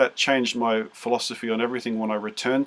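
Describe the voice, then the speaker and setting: A man with an Australian accent at a very fast pace and a medium pitch. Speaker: music teacher. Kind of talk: interview. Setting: video call.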